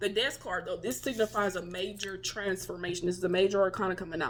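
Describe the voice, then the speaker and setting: A woman speaks very fast at a medium pitch. Noticeable background noise sits behind her. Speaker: tarot reader. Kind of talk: tarot reading. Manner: animated.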